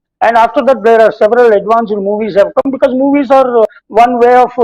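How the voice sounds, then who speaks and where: With an Indian accent, this speaker talks at a fairly quick pace with fairly even intonation, in a dry, close sound with no echo. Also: man. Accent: Indian English, Telugu. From India, Telugu-speaking region. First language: Telugu. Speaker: spiritual teacher and behavioral science professor. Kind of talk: talk on scripture mixing English and Hindi. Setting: TV talk show. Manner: halting with frequent fillers.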